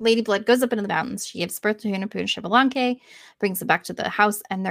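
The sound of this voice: An unforced reading voice is used here. That is what the clip offers.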